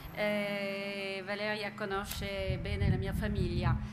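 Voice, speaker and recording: Someone with a French accent talks at a very slow pace over noticeable background noise. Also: woman. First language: French (speaking Italian). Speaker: luxury brand executive. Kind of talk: lecture; panel talk. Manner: halting. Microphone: podium.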